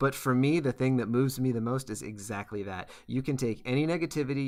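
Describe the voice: The speaker delivers plain reading aloud.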